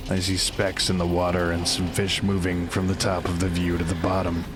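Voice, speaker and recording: Someone does a put-on character voice at a fairly quick pace. Loud background noise runs underneath. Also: man. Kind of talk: audio drama performance. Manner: sarcastic, tense.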